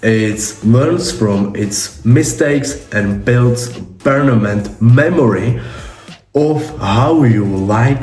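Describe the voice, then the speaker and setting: A man with a non-native accent speaks at a very slow pace amid noticeable background noise and audible room echo. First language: not English. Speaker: tech YouTuber. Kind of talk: tutorial. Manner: halting.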